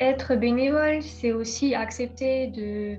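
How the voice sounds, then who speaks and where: Music plays in the background as a woman speaks. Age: young. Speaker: volunteer for a multiple sclerosis foundation. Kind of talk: interview answer.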